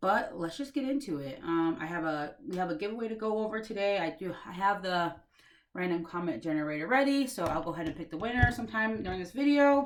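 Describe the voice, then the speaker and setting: This woman talks at a very fast pace. Her medium pitch swings very widely. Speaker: cross-stitch vlogger, hospital worker. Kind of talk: casual chat. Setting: home craft room.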